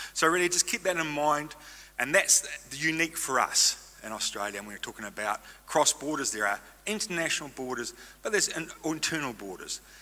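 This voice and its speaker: With a New Zealand accent, a man talks at a fairly high pitch that swings very widely. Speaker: stem cell registry representative. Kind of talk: conference presentation. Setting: stage with audience. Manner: fast.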